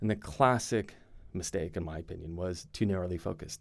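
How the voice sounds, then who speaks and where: Speaking at a fairly quick pace with ordinary pitch variation, a man has a plain, everyday voice and an American accent. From Arizona, US. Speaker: finance firm CEO. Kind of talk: casual interview chat.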